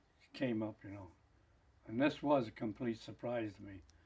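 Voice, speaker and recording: At a fairly slow pace, a man speaks in a somewhat breathy voice of medium pitch, with fairly even intonation. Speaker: retired mill plant engineer and local historian. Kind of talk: interview answer. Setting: home interview. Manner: casual, reminiscing, hesitant.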